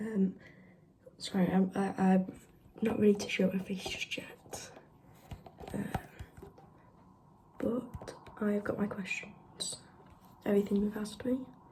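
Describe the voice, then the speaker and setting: A fairly slow delivery with long, frequent pauses and noticeable background noise. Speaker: ASMR creator. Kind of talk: casual Q&A chat. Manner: quiet, not whispering; halting, many fillers.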